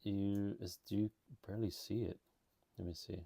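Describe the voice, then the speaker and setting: A man talks at a fairly slow pace. His tone is enthusiastic. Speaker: toy reviewer. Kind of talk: product review. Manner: casual, enthusiastic.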